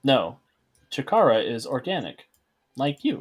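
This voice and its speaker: A man puts on a character voice, talking at a moderate pace. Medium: actual play. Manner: polite, scripted, cheerful.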